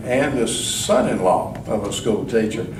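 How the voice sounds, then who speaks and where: Noticeable background noise and audible room echo surround a man talking fairly slowly with ordinary pitch variation. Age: 70s. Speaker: political candidate. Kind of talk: candidate forum speech. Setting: candidate forum with audience.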